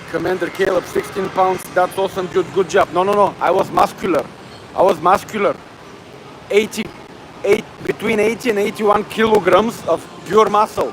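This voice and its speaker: A man talks at a moderate pace, his pitch high and his intonation fairly even. Noticeable background noise sits behind him. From Bulgaria. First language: Bulgarian. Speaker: fitness livestreamer. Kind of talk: casual livestream chat. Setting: gym. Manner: halting.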